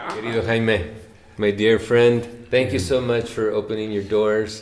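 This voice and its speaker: Talking at a fairly slow pace, a man with an American accent has a fairly low pitch. Audible room echo surrounds his voice. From US, San Diego. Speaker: interviewer. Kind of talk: interview. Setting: at home.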